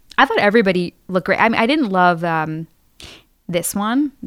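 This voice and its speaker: A woman talks at a fairly quick pace in an ordinary speaking voice with fairly low pitch. The sound is dry and close with no echo, on a very clean recording with a silent background. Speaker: student. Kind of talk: casual chat. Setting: studio.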